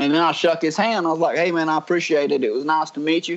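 In a strong Southern US accent, a man talks at a fairly high pitch with ordinary pitch variation. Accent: strong Southern US drawl. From North Georgia mountains, US South. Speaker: reality TV personality. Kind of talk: casual interview chat. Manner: easygoing, charming, storytelling.

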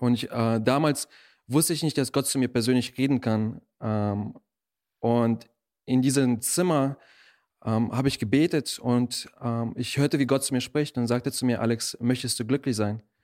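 At a moderate pace, a man with a normal speaking voice and medium pitch holds fairly even intonation on a very clean recording with a silent background. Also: very even loudness. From Germany, born in Russia. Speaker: missionary. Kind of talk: interview testimony.

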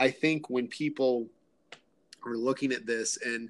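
Speaking at a moderate pace with an American accent, this man has a medium pitch and fairly even intonation. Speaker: podcast host. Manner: friendly, conversational.

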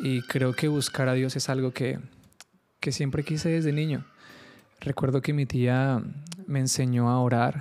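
The pace is fairly slow, with long, frequent pauses. Loudness stays very even and the intonation is monotone and flat. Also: man, medium pitch for a man. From Colombia, Caribbean coast (Carmen de Bolívar). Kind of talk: solo podcast monologue, devotional teaching. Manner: halting, many fillers and repetitions.

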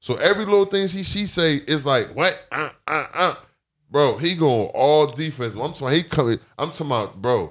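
On a very clean recording with a silent background, a man with a plain, everyday voice talks at a moderate pace with lively intonation. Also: fairly high pitch for a man. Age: 30s. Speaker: rapper. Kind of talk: casual chat.

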